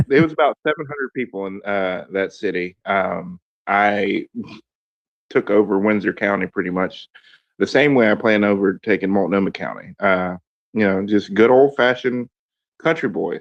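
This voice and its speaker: A man with a Southern US accent, fairly low in pitch, with ordinary pitch variation and a moderate pace. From US South, Georgia (near Fort Benning). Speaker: political candidate. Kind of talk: casual chat. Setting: online audio space.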